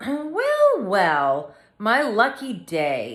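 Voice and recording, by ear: A woman puts on a croaky character voice at a fairly high pitch, with audible echo around her.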